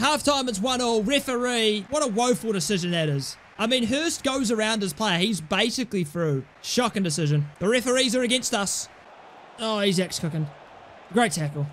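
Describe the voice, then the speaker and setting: Over light background noise, a man talks at a moderate pace in an animated tone. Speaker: gaming YouTuber. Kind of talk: live-style sports commentary over gameplay, breathless play-by-play. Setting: recorded at home, gameplay voiceover. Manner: excitable, animated, shouting and gasping at goals.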